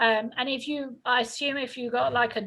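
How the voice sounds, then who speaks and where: A woman speaks in a bright, sharp tone with monotone, flat intonation. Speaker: health insurance counselor. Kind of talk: informational presentation. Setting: video call. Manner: fast.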